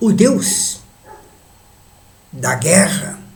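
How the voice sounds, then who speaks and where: A high-pitched man at a very slow pace, with audible room echo and noticeable background noise. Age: 80s+. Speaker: elderly video essayist. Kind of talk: monologue reflection.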